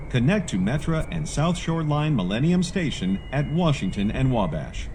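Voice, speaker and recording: A man's fairly high voice at a fairly slow pace, with very wide pitch swings over noticeable background noise. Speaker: voiceover artist. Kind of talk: automated transit announcement. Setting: train PA system.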